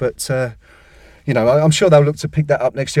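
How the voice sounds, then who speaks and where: In an English accent, a man speaks with a dark, mellow tone. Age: 40s. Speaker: football website editor. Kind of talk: casual chat.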